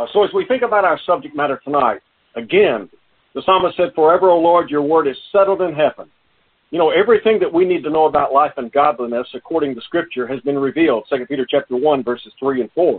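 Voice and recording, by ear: A man talks at a fast pace, his fairly high pitch carrying a slightly husky edge. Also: ordinary pitch variation.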